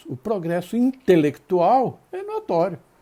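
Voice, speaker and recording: A man's high-pitched voice with a dark, mellow tone, very wide pitch swings and a very slow pace. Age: 70s. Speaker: spiritist lecturer. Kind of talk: lecture. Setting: live stream.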